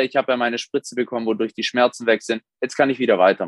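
A very fast man's voice at medium pitch, dry and close with no echo. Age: 20s. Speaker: sports therapist and bodybuilding coach. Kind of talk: interview.

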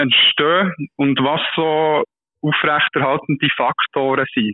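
Speaking very slowly, a man talks at a fairly high pitch. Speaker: doctoral researcher. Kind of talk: casual interview explaining a study. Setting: phone call. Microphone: poor phone line, hard to hear.

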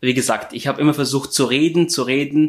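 The voice belongs to a man. His pitch shows ordinary variation. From Syria. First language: Arabic (speaking German). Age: 20s. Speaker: home care aide. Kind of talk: interview.

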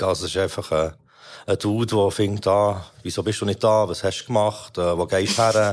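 A man talks at a moderate pace in a Swiss accent. The recording is very clean, with a silent background. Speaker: podcast host reviewing rap releases. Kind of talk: casual chat.

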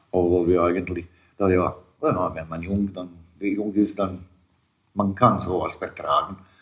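Very slowly and with long, frequent pauses, a man speaks in a very deep, low pitch. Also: fairly even intonation. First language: Serbo-Croatian (speaking German). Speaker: immigrant father. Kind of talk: interview storytelling. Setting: at home. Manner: halting.

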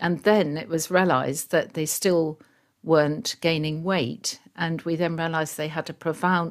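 A woman with a southern English accent and a fairly low voice, at a moderate pace, in a very clean recording with a silent background. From England, rural Surrey. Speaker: pediatric gastroenterologist. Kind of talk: interview.

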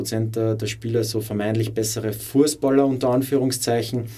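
At a moderate pace, a man speaks in a flat monotone at medium pitch, his dark, mellow tone carrying audible room echo. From Upper Austria. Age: 20s. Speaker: former footballer and teacher. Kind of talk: interview.

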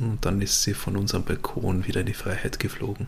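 A man's unremarkable speaking voice with fairly even intonation at a fairly quick pace. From Vorarlberg, western Austria. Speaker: podcast host, journalist. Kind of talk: casual chat.

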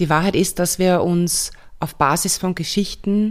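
The background is silent and the recording very clean. Her intonation, as a woman speaking, stays fairly even. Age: 40s. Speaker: somatic coach and podcast host. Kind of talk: casual solo monologue. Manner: hesitant fillers, self-correcting.

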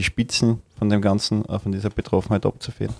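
A dark, mellow tone comes at a fairly quick pace in a dry, close sound with no echo. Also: man. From Austria, Upper Styria. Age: 30s. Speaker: party official. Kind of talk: interview. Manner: hesitant, many fillers.

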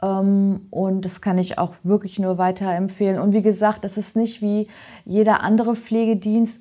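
A woman at a moderate pace and medium pitch, dark and mellow in tone, on a very clean recording with a silent background. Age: 30s. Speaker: trainee in healthcare administration. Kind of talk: casual interview.

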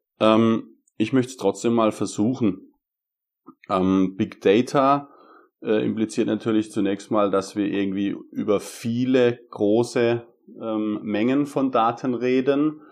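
The speech moves at a very slow pace with fairly even intonation. The background is quiet. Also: man, medium pitch for a man. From Germany, Karlsruhe area (Baden). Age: 30s. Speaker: data scientist. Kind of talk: interview explanation. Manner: hesitant with fillers.

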